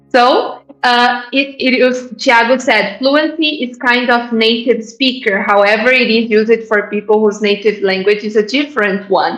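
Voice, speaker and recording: Over noticeable background noise, a woman with a fairly high pitch talks with hardly any pauses. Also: fairly even intonation. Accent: Brazilian. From Brazil. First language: Portuguese. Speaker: English teacher. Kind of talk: live online class. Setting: live online event. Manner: deliberate, with fillers.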